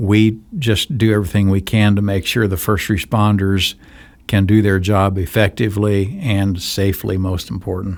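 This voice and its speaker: At a moderate pace, a man speaks in a normal speaking voice, with fairly low pitch and fairly even intonation. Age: 60s. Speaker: nonprofit charity director. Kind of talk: interview. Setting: studio.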